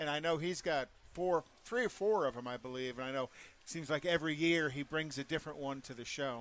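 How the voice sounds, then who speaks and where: At a fairly quick pace, a man with a fairly high pitch and ordinary pitch variation talks in an unremarkable speaking voice. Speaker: co-host. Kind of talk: casual interview.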